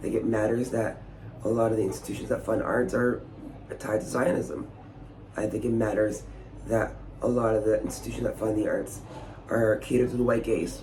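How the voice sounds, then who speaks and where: Amid audible room echo, a man talks at a fairly quick pace broken by long, frequent pauses. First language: not English. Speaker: theatre maker and vlogger. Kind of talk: casual vlog monologue. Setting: Edinburgh during the festival. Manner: animated.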